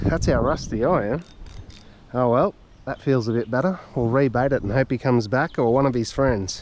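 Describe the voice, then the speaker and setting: At a moderate pace and medium pitch, a man speaks with an Australian accent. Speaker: fishing vlogger. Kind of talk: casual outdoor vlog narration. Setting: outdoors by a river. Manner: halting.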